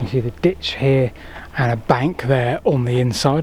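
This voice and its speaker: A man whispers over noticeable background noise. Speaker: history and landscape YouTuber. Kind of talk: walking tour vlog narration. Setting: outdoors in woodland. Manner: whispering.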